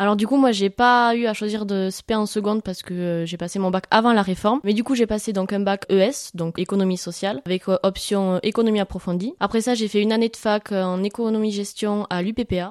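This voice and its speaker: In a normal speaking voice, a woman talks at a fairly quick pace with hardly any pauses, her medium pitch following fairly even intonation. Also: dry, close sound with no echo. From southwestern France, Hautes-Pyrénées near Tarbes. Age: 20s. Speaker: university student. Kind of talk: interview.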